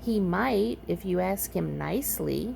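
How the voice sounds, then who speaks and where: Clear background noise runs under a woman's put-on character voice. She speaks at a fairly slow pace. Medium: read story. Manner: know-it-all, brisk.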